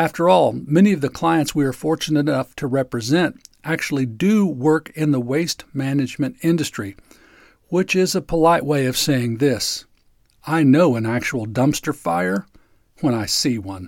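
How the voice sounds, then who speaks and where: A man's normal speaking voice, fairly high in pitch, with lively intonation at a moderate pace, in a dry, close sound with no echo and a very clean recording against a silent background. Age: 60s. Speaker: lawyer and podcast host. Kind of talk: scripted narration.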